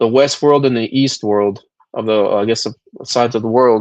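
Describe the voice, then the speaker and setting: Here a man talks at a fairly slow pace. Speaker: stream panel host. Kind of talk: casual chat. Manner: loud.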